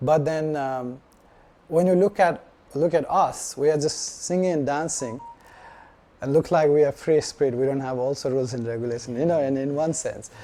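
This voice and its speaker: Over noticeable background noise, a man talks at a moderate pace with a fairly high pitch and ordinary pitch variation. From Nepal. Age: 50s. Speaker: devotional speaker. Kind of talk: informal scripture talk. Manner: halting, many fillers.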